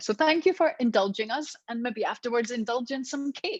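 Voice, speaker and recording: A woman with a Scottish accent speaks at a fairly quick pace in a fairly high voice. Her intonation is lively, and the sound is dry and close with no echo. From Scotland, Glasgow. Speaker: professional development trainer. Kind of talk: online training webinar. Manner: chatty.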